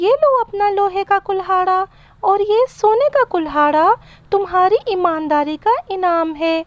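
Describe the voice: A woman does a cartoonish character voice at an extremely high pitch and a moderate pace.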